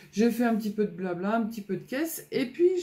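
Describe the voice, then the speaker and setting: The woman's voice has a dark, mellow tone. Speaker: scrapbooking youtuber. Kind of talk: casual vlog chat. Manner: hesitant, many fillers.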